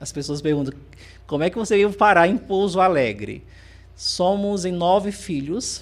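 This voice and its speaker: A man with a high pitch speaks in a Ceará accent. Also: ordinary pitch variation, moderate pace. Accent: Northeastern Brazilian (Ceará). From Northeast Brazil, interior of Ceará. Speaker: teacher and speaker. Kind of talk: podcast interview.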